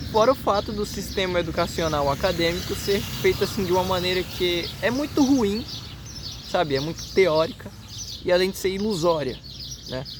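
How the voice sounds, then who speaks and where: Background noise can be clearly heard. The delivery is neither fast nor slow. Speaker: YouTuber. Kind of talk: casual vlog monologue. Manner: halting, stammering.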